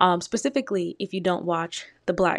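In a very clean recording with a silent background and a dry, close sound with no echo, an ordinary speaking voice with an American accent moves at a moderate pace with fairly even intonation. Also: woman. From Detroit, Michigan, US. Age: 20s. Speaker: podcast host. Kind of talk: solo casual commentary.

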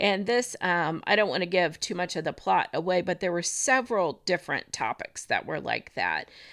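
A woman with an American accent, fairly low in pitch with vocal fry, at a moderate pace with hardly any pauses and ordinary pitch variation. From US Midwest, northwest Indiana. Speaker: elementary school office worker. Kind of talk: casual chat. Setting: recorded in a room together with host. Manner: hesitant, frequent fillers.

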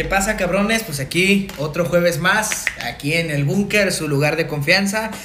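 Over noticeable background noise and audible room echo, a man with a high pitch and ordinary pitch variation speaks at a fairly slow pace with hardly any pauses. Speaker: podcast co-host. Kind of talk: casual chat.

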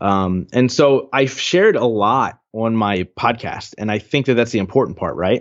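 Using a normal speaking voice, a man speaks fairly low in pitch, and his pitch moves in an ordinary way. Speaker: podcast host and coach. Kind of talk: casual interview conversation.

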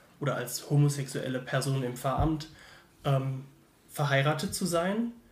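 With ordinary pitch variation, a somewhat breathy man speaks, and audible room echo surrounds his voice. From Germany, Mannheim. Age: 20s. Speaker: theology student. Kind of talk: casual interview. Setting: in person recording.

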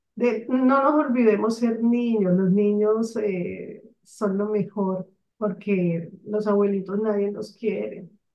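A woman talks at a very slow pace. Her medium pitch has ordinary variation. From Colombia, Barranquilla (Caribbean coast). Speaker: mentor, author and business consultant. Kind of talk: interview.

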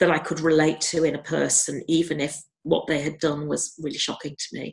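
A woman speaks at a moderate pace in a very deep, low pitch, with vocal fry. She has a slight Scouse accent. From Liverpool, England. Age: 50s. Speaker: retired psychiatrist. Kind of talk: interview.

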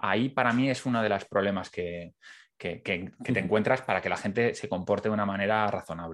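A man with an unremarkable speaking voice talks at a fairly quick pace. His pitch is fairly low, with ordinary pitch variation. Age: 30s. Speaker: podcast host. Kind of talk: interview conversation.

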